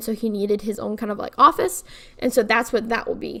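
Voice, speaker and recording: A woman is speaking. Her pitch sits fairly high. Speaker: YouTuber, Sims speed builder. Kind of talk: casual chat over gameplay. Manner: fast; stumbling over words.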